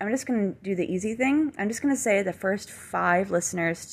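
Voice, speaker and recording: Here a woman speaks with ordinary pitch variation. The recording is very clean, with a silent background. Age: 30s. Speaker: small beauty business owner and podcast host. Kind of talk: casual solo monologue. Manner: hesitant with many fillers.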